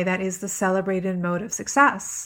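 At a moderate pace, a woman speaks in an unremarkable speaking voice at medium pitch, recorded very cleanly against a silent background. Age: 40s. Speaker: podcast host and author. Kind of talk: solo talk. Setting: home studio.

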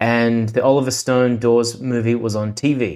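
A man's medium-pitched voice in a monotone, flat intonation. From Adelaide, South Australia. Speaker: film sound recordist and music collector. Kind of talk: casual chat.

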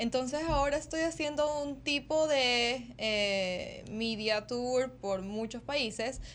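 This woman's voice is high and moves with ordinary pitch variation. She talks very slowly. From Ecuador. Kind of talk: interview.

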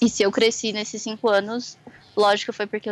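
This woman's pitch is medium. She talks with monotone, flat intonation. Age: 20s. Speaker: design student and calligrapher. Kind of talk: casual interview.

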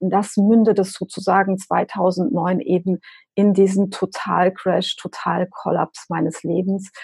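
A woman speaks very slowly in a somewhat breathy, dark, mellow tone with monotone, flat intonation and a dry, close sound with no echo. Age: 40s. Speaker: business coach and extreme runner. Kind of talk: interview.

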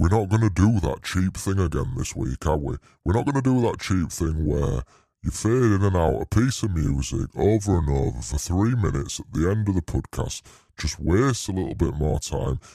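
A man with a very deep, low pitch and vocal fry speaks at a moderate pace in a dark, mellow tone, his pitch swinging very widely, on a very clean recording with a silent background. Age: 30s. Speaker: podcast co-host. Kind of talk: casual, crude British slang. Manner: rambling, jokey.

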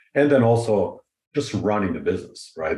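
Fairly brisk male speech with a slightly breathy quality. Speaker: financial advisor. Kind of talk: casual interview.

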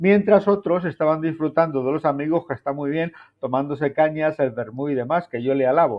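A man speaks in an unremarkable speaking voice. His pitch is fairly high. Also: ordinary pitch variation, fairly quick pace. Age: 60s. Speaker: TV presenter and journalist. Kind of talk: casual chat.

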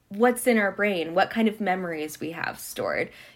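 At a medium pitch, a woman with an American accent speaks in an unremarkable speaking voice with ordinary pitch variation. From Montana, US. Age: 30s. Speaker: artist and historian, PhD student. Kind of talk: interview conversation.

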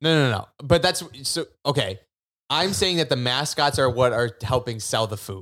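On a very clean recording with a silent background, a man with an ordinary speaking voice talks at a moderate pace and medium pitch with lively intonation. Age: 20s. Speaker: podcast co-host, daycare worker. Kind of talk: casual chat.

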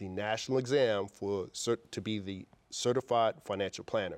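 In a very clean recording with a silent background and a dry, close sound with no echo, a man with a New York accent and a fairly low pitch talks at a moderate pace with ordinary pitch variation. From New York City (Queens). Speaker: wealth advisor and firm founder. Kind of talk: interview.

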